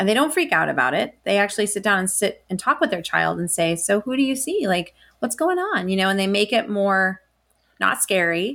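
With an American accent and an unremarkable speaking voice, a woman talks at medium pitch and a fairly quick pace. Her intonation is lively, and the recording is very clean, with a silent background. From Colorado, US. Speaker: ufologist and paranormal researcher. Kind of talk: interview.

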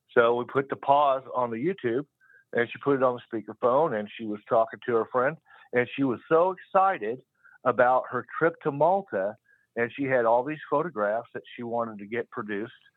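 A man with an unremarkable speaking voice talks at a moderate pace, medium pitch, and ordinary pitch variation. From Kansas, US Midwest. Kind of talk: casual call-in chat. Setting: phone call.

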